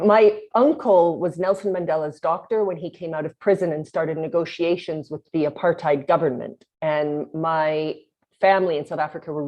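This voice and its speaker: A woman with a Canadian accent has a plain, everyday voice, fairly low in pitch with ordinary pitch variation. She talks at a moderate pace with hardly any pauses. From Canada, Winnipeg, Manitoba. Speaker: company founder and CEO. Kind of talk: podcast interview.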